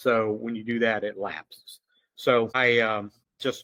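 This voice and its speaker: A man's fairly low voice, dry and close with no echo, on a very clean recording against a silent background. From Louisiana. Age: 60s. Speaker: security officer and former police officer. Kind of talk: casual interview conversation.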